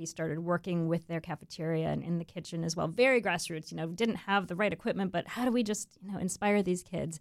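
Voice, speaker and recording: Speaking very fast with hardly any pauses, a woman with an American accent uses a fairly low pitch and ordinary pitch variation. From Florida, US. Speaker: nonprofit executive director. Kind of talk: interview. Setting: studio.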